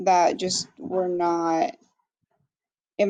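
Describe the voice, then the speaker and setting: A woman speaks with a Spanish accent. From Mexico. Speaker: graduate student. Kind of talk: class discussion. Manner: hesitant, many fillers.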